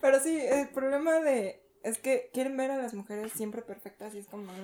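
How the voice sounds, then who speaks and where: In a dark, mellow tone, a woman speaks at a moderate pace with lively intonation. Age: young. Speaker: podcast co-host. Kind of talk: casual chat.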